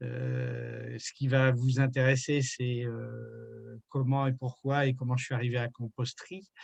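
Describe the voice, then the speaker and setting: The man's medium-pitched voice moves at a very slow pace with fairly even intonation, the sound dry and close with no echo. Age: 60s. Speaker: retired environmental activist. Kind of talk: interview. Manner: hesitant, many fillers.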